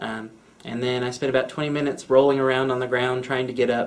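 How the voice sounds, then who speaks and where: A man speaks with audible room echo around him. Background noise is noticeable too. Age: 20s. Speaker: interviewee with spinal cord injury. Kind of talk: interview testimony. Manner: casual with frequent fillers.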